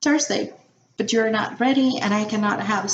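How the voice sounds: This is a natural reading voice. Nothing else is described.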